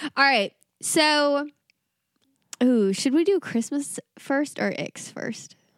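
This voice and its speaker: With a high pitch and ordinary pitch variation, a woman with an American accent talks at a very slow pace with long, frequent pauses, in a dry, close sound with no echo. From US South. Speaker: podcast co-host. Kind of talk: casual chat. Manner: animated.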